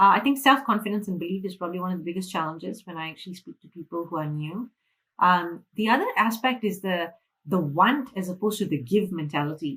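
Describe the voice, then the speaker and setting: Very clean recording with a silent background of a woman with a Malaysian accent, medium-pitched, very fast, with lively intonation and big swings in loudness. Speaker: financial freedom mentor. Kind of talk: interview.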